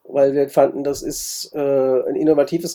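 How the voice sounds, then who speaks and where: This man has a dark, mellow tone and a fairly high pitch, speaking at a moderate pace. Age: 60s. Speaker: board game event organizer. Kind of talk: interview.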